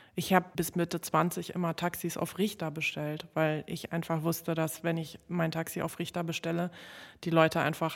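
A woman with a fairly low pitch speaks at a moderate pace in monotone, flat intonation. The recording is very clean, with a silent background. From Berlin (Neukölln), born in Warsaw. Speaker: singer-songwriter. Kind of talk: interview.

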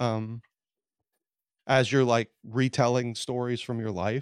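Dry, close sound without echo, from a man with a Southern US accent. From US South, Louisiana. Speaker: author and comedian. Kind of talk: casual chat. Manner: casual, slangy.

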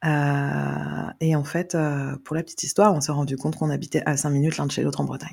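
This is a woman speaking. Her pace is moderate. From Brittany, France (Carnac). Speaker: adoptee sharing her story. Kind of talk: guided meditation; testimony. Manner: hesitant, many fillers.

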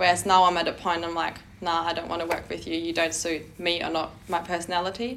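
A woman talks very fast at a fairly low pitch, her intonation monotone and flat. Noticeable background noise is present. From Germany. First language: German. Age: 20s. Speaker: personal trainer. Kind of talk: casual chat.

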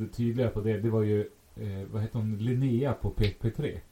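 A dark, mellow, somewhat breathy voice at a moderate pace. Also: man. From Sweden, Västerås. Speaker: podcast co-host. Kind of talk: casual chat. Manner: kind, caring tone.

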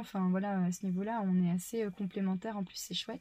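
A woman speaks at a fairly quick pace with a medium pitch and a dark, mellow, somewhat breathy tone. The recording is very clean, with a silent background. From France, Touraine. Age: 30s. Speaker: farmer. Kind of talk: casual chat.

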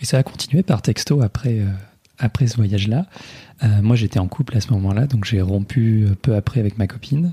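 A man talks at a moderate pace and a medium pitch with ordinary pitch variation and very even loudness. His somewhat breathy voice has a dark, mellow tone, recorded dry and close with no echo. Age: 20s. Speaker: digital project manager, host's husband. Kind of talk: casual chat. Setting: home living room.

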